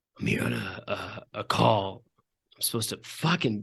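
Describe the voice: A man uses a put-on character voice, raspy and fairly low-pitched. He speaks at a moderate pace.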